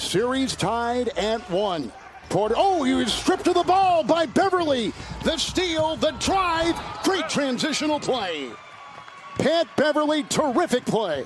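Extremely high-pitched man's voice at a fairly slow pace, dry with no echo, over noticeable background noise. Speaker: play-by-play commentator. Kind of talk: live sports commentary, play-by-play of a basketball game. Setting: broadcast, arena game coverage. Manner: punchy, clipped call of action.

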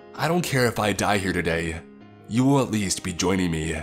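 A man puts on a growling character voice, very deep and low in pitch, going at a fairly quick pace with music in the background. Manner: snarling, angry, aggressive.

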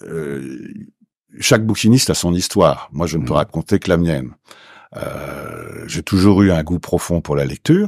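The voice moves at a fairly slow pace with vocal fry, lively intonation and long, frequent pauses. The sound is dry with no echo, and the background is quiet. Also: man, very deep, low pitch for a man. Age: 70s. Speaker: Paris secondhand bookseller. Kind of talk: interview. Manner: animated. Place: studio. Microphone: studio mic.

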